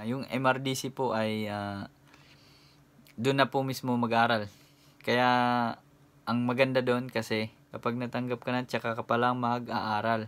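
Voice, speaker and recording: A man talks at a medium pitch with monotone, flat intonation and a fairly slow pace. Long, frequent pauses break up his speech. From Philippines. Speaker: YouTuber and overseas worker; YouTuber. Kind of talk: vlog tutorial. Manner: casual with frequent hesitations. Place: home room. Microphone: phone near.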